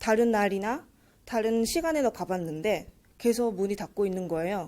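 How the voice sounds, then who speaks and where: A woman with a Japanese accent, fairly high in pitch with a dark, mellow tone, at a fairly slow pace on a very clean recording with a silent background. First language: Japanese (speaking Korean). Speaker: university student, speech contestant. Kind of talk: speech contest speech.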